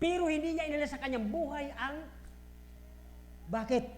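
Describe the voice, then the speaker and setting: The voice is loud. It moves at a fairly quick pace. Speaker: pastor. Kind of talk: sermon. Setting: church. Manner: forceful.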